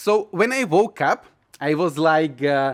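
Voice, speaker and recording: With a Slovak accent, a man speaks at a fairly high pitch with lively intonation. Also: dry, close sound with no echo. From Slovakia. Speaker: YouTuber sharing personal experiences. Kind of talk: casual personal storytelling. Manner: hesitant, many filler uhs.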